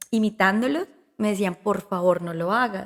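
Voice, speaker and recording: A woman speaks at a moderate pace. Her pitch is medium. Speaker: comedian and actress. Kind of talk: podcast interview.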